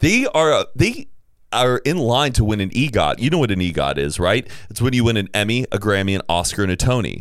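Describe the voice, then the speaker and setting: A man talks at a fairly quick pace and medium pitch with vocal fry. His pitch swings very widely. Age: 30s. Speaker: podcast host. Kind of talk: casual chat.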